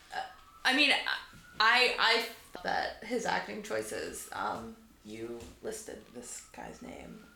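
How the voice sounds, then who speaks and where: The speaker, with an American accent, talks at a very slow pace with long, frequent pauses and big swings in loudness, amid noticeable background noise and audible room echo. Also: woman. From Boston, US Northeast. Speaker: sculptor. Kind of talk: casual chat.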